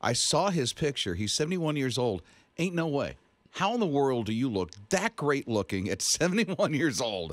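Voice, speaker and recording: Dry with no echo, a man's fairly high voice carries an animated tone, vocal fry and very wide pitch swings. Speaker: radio host. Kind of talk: radio show banter. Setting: studio. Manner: chatty, animated, joking. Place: studio. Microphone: studio mic.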